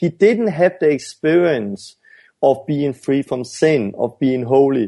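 Against a quiet background, a man with a Danish accent talks in a dark, mellow tone with lively intonation. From Denmark. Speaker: evangelist and ministry founder. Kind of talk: interview. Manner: halting.

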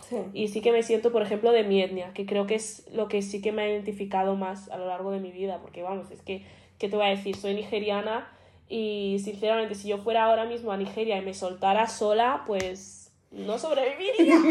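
Talking at a fairly quick pace, a woman keeps her medium-pitched voice fairly even in intonation while her loudness swings widely. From Spain, Madrid. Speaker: podcast co-host. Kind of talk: casual chat.

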